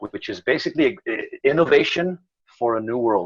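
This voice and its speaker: Delivered at a fairly quick clip, an ordinary speaking voice shows ordinary pitch variation. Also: man. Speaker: podcast host. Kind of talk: casual interview questions.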